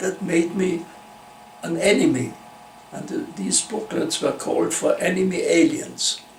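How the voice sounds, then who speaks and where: Over noticeable background noise, a man speaks at a fairly slow pace with a German accent. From Austria (Vienna). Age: 90s. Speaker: Holocaust-era refugee interviewee. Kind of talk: oral history interview. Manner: halting, with false starts.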